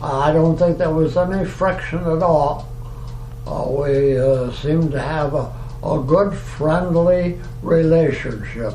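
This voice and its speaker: The speech moves at a very slow pace with fairly even intonation, amid noticeable background noise and audible room echo. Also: man, fairly high pitch for a man. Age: 90s (80s+). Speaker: retired oil industry worker interviewed about past work. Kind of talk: oral history interview. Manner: halting, many fillers.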